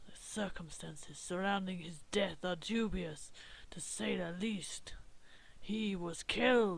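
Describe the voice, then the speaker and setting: A loud, raspy, put-on character voice sits at a middle pitch. It moves along at a fairly slow pace. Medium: game stream. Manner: loud, blustering.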